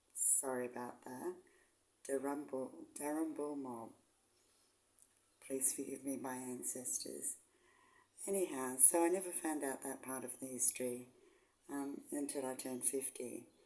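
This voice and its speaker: A woman with an Australian accent, a very deep, low pitch and a dark, mellow tone, at a moderate pace with fairly even intonation and long, frequent pauses. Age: 60s. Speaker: vlogger, semi-retired nurse. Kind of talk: casual vlog talk. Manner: casual, hesitant with ums.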